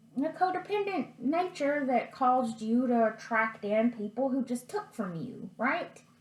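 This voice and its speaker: Against noticeable background noise, a woman speaks at a fairly slow pace and high pitch, with very wide pitch swings. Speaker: tarot reader. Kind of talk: tarot reading.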